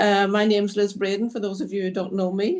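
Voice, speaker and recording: A woman's medium-pitched voice at a moderate pace, in a Northern Irish accent. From Northern Ireland. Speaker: city councillor and candidate. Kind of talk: political forum statement. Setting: video call.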